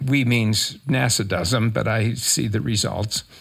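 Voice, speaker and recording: This man speaks at a medium pitch. Vocal fry runs through his voice. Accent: American. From rural Minnesota. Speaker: crop scientist. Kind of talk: interview.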